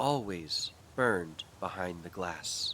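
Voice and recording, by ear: Very slowly, a man talks in a bright, sharp tone with ordinary pitch variation.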